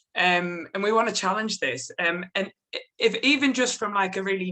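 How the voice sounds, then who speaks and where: A woman with a strong British accent talks at a fairly quick pace in a medium pitch, her tone bright and sharp. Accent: strong regional UK. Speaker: policy researcher. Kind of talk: panel presentation.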